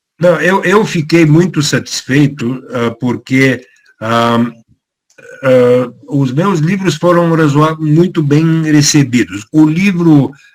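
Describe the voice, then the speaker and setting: Speaking very slowly with a Bulgarian accent, a man uses a fairly high pitch and ordinary pitch variation. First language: Bulgarian (speaking Portuguese). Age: 70s. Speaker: author. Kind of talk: talk. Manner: halting, many fillers.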